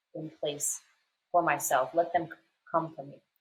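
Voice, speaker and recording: Somewhat breathy, a woman talks at a fairly quick pace and a fairly low pitch. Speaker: podcast co-host. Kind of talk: casual chat. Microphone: poorly set up microphone.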